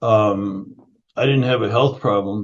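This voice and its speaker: An unremarkable speaking voice, moderate in speed, its pitch varying in an ordinary way. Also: man. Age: 60s. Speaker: functional nutrition educator and founder. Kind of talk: interview conversation.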